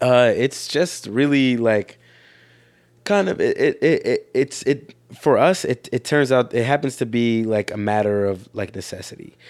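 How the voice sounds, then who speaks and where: A man with an American accent and an unremarkable speaking voice, medium in pitch, fairly slow in pace, with lively intonation, in a very clean recording with a silent background. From Philadelphia, Haitian American. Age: 20s. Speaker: rock band bassist. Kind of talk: casual interview chat. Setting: at home.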